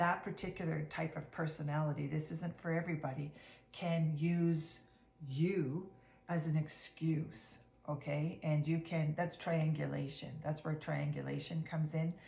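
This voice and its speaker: A woman speaks with a very deep, low pitch and a dark, mellow tone that is somewhat breathy. Her intonation is monotone and flat, at a moderate pace. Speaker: tarot card reader. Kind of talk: casual tarot reading to camera. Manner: hesitant with fillers; partly whispering.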